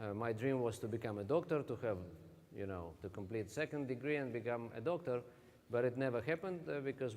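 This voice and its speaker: A man talks at a fairly quick pace with a Russian accent. His pitch is medium, with ordinary pitch variation. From Russia (Siberia). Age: 40s. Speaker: network marketing distributor. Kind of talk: motivational talk. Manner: halting.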